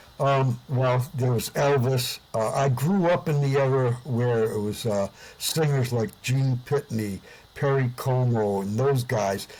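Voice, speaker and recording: This voice has an American accent and is somewhat breathy. It moves at a fairly slow pace with very even loudness. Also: man, medium pitch for a man, ordinary pitch variation. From US Northeast, Providence, Rhode Island. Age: 70s. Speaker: singer and musician, Vietnam veteran. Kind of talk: interview. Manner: hesitant with frequent fillers.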